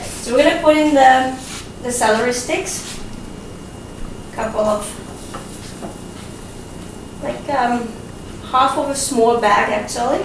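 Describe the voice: Slow delivery with ordinary pitch variation, long and frequent pauses, and audible room echo. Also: woman, fairly high pitch for a woman.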